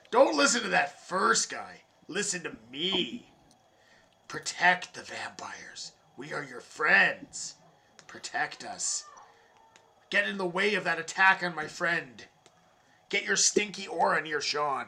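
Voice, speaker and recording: A man uses a put-on character voice, raspy and high-pitched. He goes at a fairly slow pace with long, frequent pauses. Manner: persuasive, sinister.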